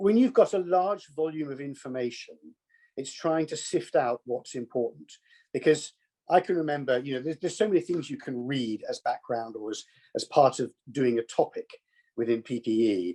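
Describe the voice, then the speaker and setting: A man speaks at a moderate pace in a fairly high, dark, mellow voice with lively intonation. The sound is dry and close, with no echo. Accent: southern English. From southern England, Kent. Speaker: business executive, alumnus. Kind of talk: conversational interview. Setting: video call.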